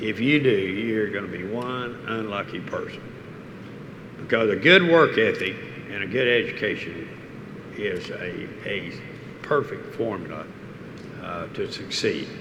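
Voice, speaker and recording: A man with a medium pitch talks fairly slowly, with lively intonation and long, frequent pauses. Noticeable background noise and audible room echo surround him. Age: 80s+. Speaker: oil industry executive, keynote speaker. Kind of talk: on-stage interview. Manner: halting.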